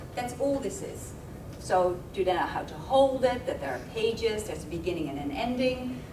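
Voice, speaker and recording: With a Dutch accent, a woman speaks in a fairly high voice with very wide pitch swings and big swings in loudness against noticeable background noise. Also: moderate pace. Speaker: university lecturer and speech pathologist. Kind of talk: lecture. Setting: seminar with live audience. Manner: conversational, hesitant with fillers.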